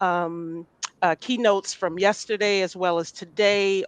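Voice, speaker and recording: A woman talks at a fairly slow pace with fairly even intonation and a medium pitch, in a plain, everyday voice. The sound is dry and close, with no echo. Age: 60s. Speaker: lawyer and advocate. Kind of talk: panel discussion.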